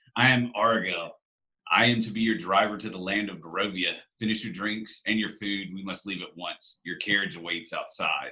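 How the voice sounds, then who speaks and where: Putting on a character voice, a man sounds raspy and gruff at a fairly low pitch, moving at a moderate pace with ordinary pitch variation and big swings in loudness. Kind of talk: formal, curt, commanding. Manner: authoritative.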